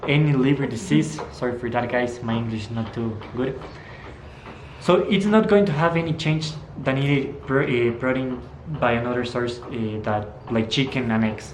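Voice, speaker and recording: Over noticeable background noise and audible room echo, a man with a Spanish accent speaks at a moderate pace in a medium pitch, his intonation lively. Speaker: fitness vlogger. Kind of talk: casual educational talk. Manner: halting, with many fillers.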